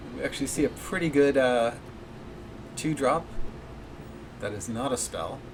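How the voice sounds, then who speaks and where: Quiet and fairly high-pitched, a man talks at a moderate pace with ordinary pitch variation and long, frequent pauses. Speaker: esports caster. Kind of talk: live commentary. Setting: livestream at home. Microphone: too quiet.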